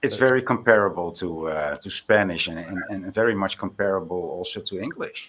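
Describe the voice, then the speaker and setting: A man with a slight Dutch accent speaks at a very deep, low pitch with ordinary pitch variation, big swings in loudness, a fairly quick pace and hardly any pauses. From Netherlands. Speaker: Bible chat participant. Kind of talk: casual chat. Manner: halting.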